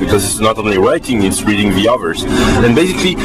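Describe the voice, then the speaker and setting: Music plays in the background as a man speaks with a French accent. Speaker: tech executive and blogger. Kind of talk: interview answer. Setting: on a bus. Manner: outgoing, upbeat.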